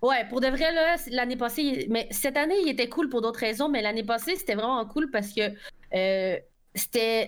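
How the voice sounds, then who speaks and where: With lively intonation and a high pitch, a woman speaks at a moderate pace and keeps her loudness very even. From Quebec. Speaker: Twitch streamer. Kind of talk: casual chat.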